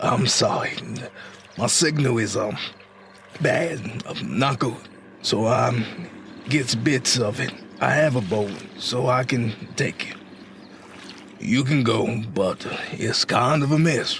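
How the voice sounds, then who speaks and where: A put-on, raspy character voice from a man at medium pitch, fairly slow with long, frequent pauses, ordinary pitch variation, very even loudness and clear background noise. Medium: audio drama. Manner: hesitant, full of ums.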